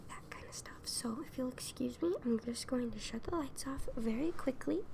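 A woman speaks softly. Noticeable background noise runs behind her. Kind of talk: soft-spoken roleplay addressing viewer. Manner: soft, hushed ASMR speaking voice. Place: home room. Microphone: earbuds.

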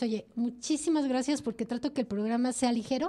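Fairly even intonation at a fairly quick pace. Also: woman. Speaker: radio host. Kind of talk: casual chat. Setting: studio.

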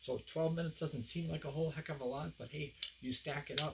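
Noticeable background noise surrounds a man who talks at a fairly quick pace in a somewhat breathy voice. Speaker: fitness instructor. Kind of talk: workout tutorial. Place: home room. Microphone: camera far.

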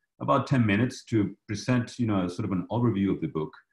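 A man speaks at a fairly low pitch with ordinary pitch variation. The background is quiet, though room echo is audible. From Chile. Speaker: professor, moderator. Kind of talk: moderated Q&A. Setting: video call. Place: home room. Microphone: video call.

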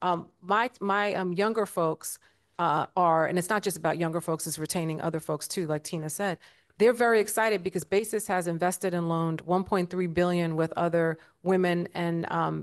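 A woman's fairly low voice with an American accent, moderate pace and fairly even intonation over a quiet background. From New York City (South Jamaica, Queens); New York City. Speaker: investment firm CEO, panelist; panelist. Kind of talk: panel discussion. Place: hall. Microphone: handheld.

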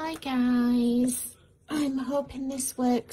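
Against light background noise, a woman speaks in a high voice. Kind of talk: casual live stream chat. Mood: amused, testing setup. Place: home room.

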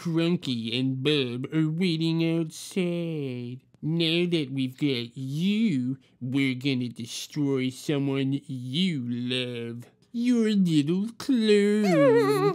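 This is a put-on character voice at a low-to-middle pitch. It goes at a very slow pace. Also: hardly any pauses. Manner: menacing, plotting.

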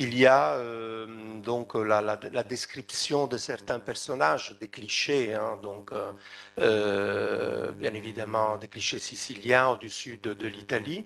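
A man's medium-pitched voice at a very slow pace, with ordinary pitch variation, big jumps in volume and light background noise. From Sicily, Trapani; Sicily. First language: Italian (speaking French). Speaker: researcher and novelist; conference panelist. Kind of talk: conference talk. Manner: halting. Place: hall. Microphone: podium.

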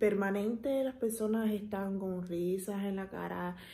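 A fairly slow, somewhat breathy delivery with a dark, mellow tone and fairly even intonation. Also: woman. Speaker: vlogger. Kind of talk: casual vlog chat. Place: home room. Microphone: phone near.

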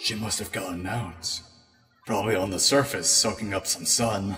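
Over faint background music, a man does a put-on character voice at a fairly low pitch and a moderate pace. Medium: dub.

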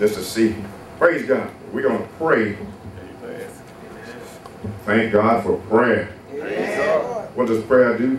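A man speaks at a very slow pace with long, frequent pauses and fairly even intonation. Audible room echo and noticeable background noise are present. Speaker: preacher. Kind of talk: prayer and sermon. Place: church.

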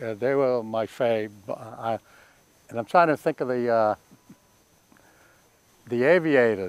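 In a Boston accent, a man speaks with ordinary pitch variation and a dry sound with no echo. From Boston, Massachusetts. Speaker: World War II Marine veteran. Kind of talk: oral history interview answer. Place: garden.

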